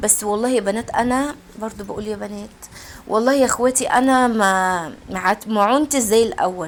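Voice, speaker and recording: A fairly high-pitched woman's voice at a moderate pace, with ordinary pitch variation. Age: middle-aged. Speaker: home cooking and routine vlogger. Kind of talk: casual chat to viewers. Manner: halting, repeating words.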